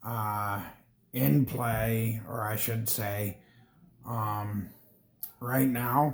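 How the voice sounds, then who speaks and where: Somewhat breathy, a man speaks at a very slow pace with fairly even intonation and long, frequent pauses. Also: medium pitch for a man. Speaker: gaming streamer. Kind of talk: casual gameplay commentary. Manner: hesitant, many fillers.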